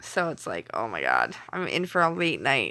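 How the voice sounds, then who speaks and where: A woman with a Canadian accent has a fairly low pitch and a bright, sharp tone in a very clean recording with a silent background. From Canada. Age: 30s. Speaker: live streamer. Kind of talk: casual live stream chat. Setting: home kitchen, late night. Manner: clear enunciation.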